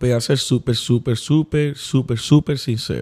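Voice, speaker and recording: A man with a medium pitch speaks in a dark, mellow tone that is somewhat breathy. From US Northeast, New Haven, Connecticut. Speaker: pastor. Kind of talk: casual chat.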